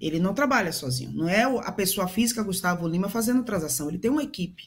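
A woman with a Brazilian accent speaks at medium pitch, somewhat breathy, with very wide pitch swings. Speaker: professor and businesswoman. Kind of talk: news panel commentary.

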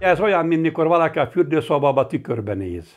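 The voice moves at a moderate pace over a quiet background. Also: man. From Hungary, Palóc region (Nógrád); Hungary. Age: 60s. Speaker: master carpenter. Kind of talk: personal testimony. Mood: earnest, reflective. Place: home room. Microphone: lapel.

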